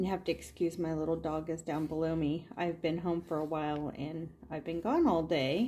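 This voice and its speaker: Her tone is dark and mellow. The woman's pitch sits fairly low. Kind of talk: casual craft tutorial chat. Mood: relaxed, light laughter. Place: home room. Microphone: phone near.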